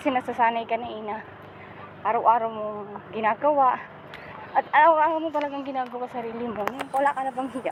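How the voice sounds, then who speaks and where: A woman talks at a very fast pace in a high voice with ordinary pitch variation and big swings in loudness. Noticeable background noise is present. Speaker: vlogger. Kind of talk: casual vlog talk to camera. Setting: outdoors walking.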